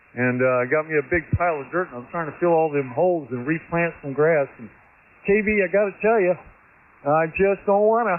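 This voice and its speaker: Lively intonation and big swings in loudness mark this man's fairly high voice. He talks at a fairly quick pace. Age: 60s. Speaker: ham radio operator. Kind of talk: casual chat.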